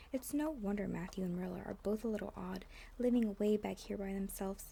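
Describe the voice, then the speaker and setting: The woman is soft-spoken. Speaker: ASMR content creator. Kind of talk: soft-spoken ASMR audiobook reading. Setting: rain sounds on window in the background. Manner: soft-spoken, quiet.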